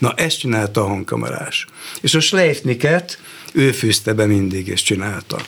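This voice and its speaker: A man at a medium pitch talks at a fairly slow pace with lively intonation and very even loudness, with noticeable background noise behind him. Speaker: retired television producer. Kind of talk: radio interview.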